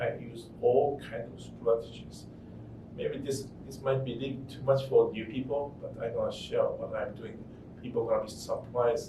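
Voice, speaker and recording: Audible room echo surrounds a man who speaks at a moderate pace. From Japan. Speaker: real estate investor. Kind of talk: interview. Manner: halting.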